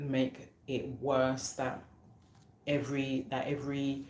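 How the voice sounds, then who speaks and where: A woman speaks with a very deep, low pitch. Room echo is audible. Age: 30s. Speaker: online talk show host. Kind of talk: live stream chat. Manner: halting, many repetitions and fillers.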